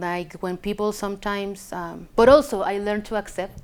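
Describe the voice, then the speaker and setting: At a fairly slow pace, a woman of medium pitch speaks in a Chilean accent. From Chile, Villa Alemana. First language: Spanish. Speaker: immigrant sharing life story. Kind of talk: personal testimony interview. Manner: halting, many fillers and restarts.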